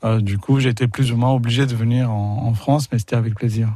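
A man of medium pitch speaks at a moderate pace in a dark, mellow, somewhat breathy tone with fairly even intonation. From India, Pondicherry. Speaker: film distributor. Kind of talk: radio interview. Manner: halting, repeats words.

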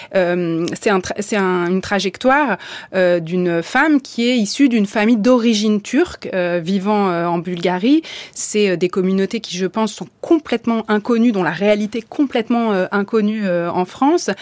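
With an ordinary speaking voice, a woman talks at a medium pitch with lively intonation. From Bulgarian family background. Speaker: radio host. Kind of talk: radio interview.

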